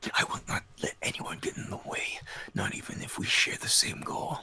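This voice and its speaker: A man's whispered, menacing put-on character voice. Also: moderate pace. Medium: actual play. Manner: menacing, scornful.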